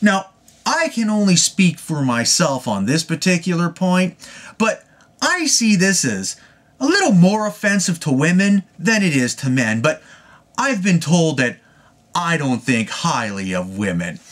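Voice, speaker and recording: Here a man speaks in a high pitch with very wide pitch swings. His pace is fairly slow. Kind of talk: rant to camera. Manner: stuttery, a little rocky.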